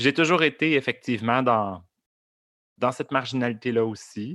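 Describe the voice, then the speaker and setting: This man talks at a moderate pace with medium pitch and ordinary pitch variation. The recording is very clean with a silent background, dry and close with no echo. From Montreal area, Quebec. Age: 30s. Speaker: drag queen performer. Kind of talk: interview conversation. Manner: halting, many fillers and repetitions.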